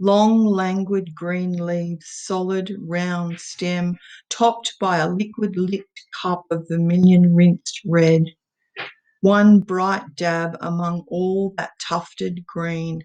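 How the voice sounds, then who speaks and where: A woman speaks very slowly in an Australian accent. Her fairly low voice holds a monotone, flat intonation. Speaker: poet. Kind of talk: poetry reading.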